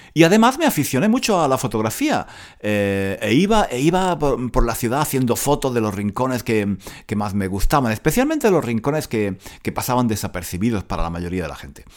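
A man's medium-pitched voice at a fairly quick pace, with very wide pitch swings, in a very clean recording with a silent background. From Granada, Andalusia, Spain. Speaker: Spanish teacher podcaster. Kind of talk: casual monologue for language learners. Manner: many repetitions and fillers.

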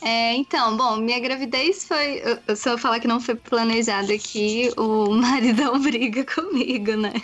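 A woman with a high pitch talks at a fairly slow pace, her loudness very even and her pitch variation ordinary. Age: 20s. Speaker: pregnant cyclist. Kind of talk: casual chat.

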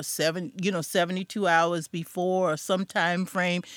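A woman with an ordinary speaking voice talks at a medium pitch and a moderate pace. The very clean recording has a silent background and a dry, close sound with no echo. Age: 60s. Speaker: podcast host. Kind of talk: interview.

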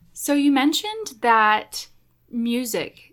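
An American accent comes through. The pitch rises and falls in a normal way. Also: woman. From Oklahoma. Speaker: podcast host. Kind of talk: casual interview; show intro.

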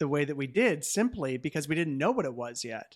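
In a very clean recording with a silent background, a man with an unremarkable speaking voice talks at a moderate pace and a fairly high pitch. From Canada, Hamilton, Ontario. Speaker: pastor and author. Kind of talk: interview conversation.

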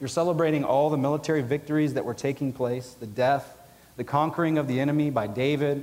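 A man with an American accent talks at a fairly quick pace in a normal speaking voice. His pitch is fairly high and his intonation fairly even. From US South (Georgia). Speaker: biblical counseling professor and pastor, army veteran. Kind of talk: conference lecture. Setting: conference hall with audience.

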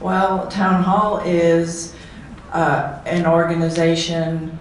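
Over noticeable background noise, a woman speaks in a fairly low pitch with monotone, flat intonation. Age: 70s. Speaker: senior living resident. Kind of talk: panel discussion. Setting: stage with audience.

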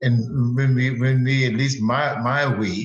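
A man is speaking. His voice is somewhat breathy. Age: 70s. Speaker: guest. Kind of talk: casual chat. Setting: video call. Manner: animated.

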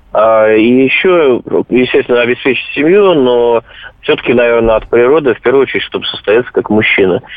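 Noticeable background noise sits behind a man of medium pitch who speaks at a fairly quick pace with ordinary pitch variation. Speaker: caller. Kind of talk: phone-in call. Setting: phone call.

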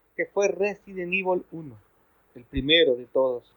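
A man's speech moves at a moderate pace, his pitch varying in an ordinary way. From Ecuador. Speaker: zombie fan community guest. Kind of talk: casual chat.

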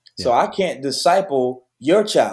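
A man talks in a normal speaking voice at a medium pitch. His intonation is lively and his pace fairly slow. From Detroit, west side. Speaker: youth pastor. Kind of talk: interview conversation.

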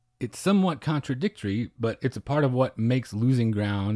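A dark, mellow voice with an American accent speaks at a moderate pace with lively intonation in a very clean recording with a silent background. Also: man. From southwest Oklahoma. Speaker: podcast co-host. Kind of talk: casual film discussion.

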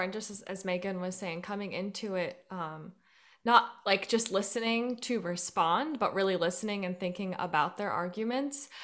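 A plain, everyday voice from a woman, medium in pitch with ordinary pitch variation and big swings in loudness, at a moderate pace on a very clean recording with a silent background. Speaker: podcast co-host. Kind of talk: interview conversation.

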